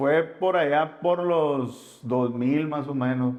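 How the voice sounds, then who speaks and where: Speaking very slowly in a northern Mexican accent, a man holds a medium pitch with ordinary pitch variation. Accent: northern Mexican Spanish (Sonora). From Sonora, northwest Mexico. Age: 30s. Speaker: former gang member in recovery. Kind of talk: interview testimony. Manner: casual, slangy.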